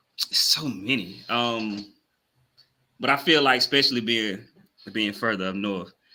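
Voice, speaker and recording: A man with a strong Southern US accent, medium pitch and ordinary pitch variation, a bright, sharp tone, a fairly slow pace and long, frequent pauses. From US South. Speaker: podcast co-host. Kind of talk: casual chat.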